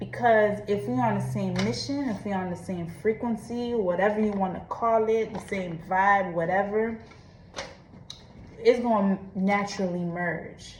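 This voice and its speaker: With audible room echo, a woman speaks at a fairly slow pace in a medium pitch with ordinary pitch variation. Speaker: vlogger. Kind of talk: personal confession monologue. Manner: casual, conversational.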